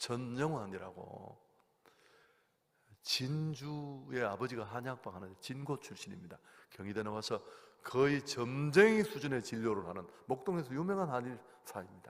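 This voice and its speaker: An animated voice with very wide pitch swings and big jumps in loudness rings out with audible room echo. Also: man, medium pitch for a man, fairly slow pace. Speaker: guest pastor preaching at revival meeting. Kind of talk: sermon. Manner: animated storytelling.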